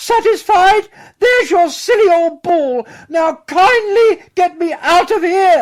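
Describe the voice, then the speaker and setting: In a put-on character voice, the speaker squeaks at an extremely high pitch, talking at a fairly slow pace. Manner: annoyed, impatient.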